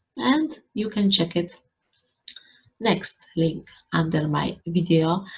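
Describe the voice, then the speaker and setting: In a Polish accent, a woman talks at a very slow pace. Her voice is somewhat breathy. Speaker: YouTuber. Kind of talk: vlog talk to camera.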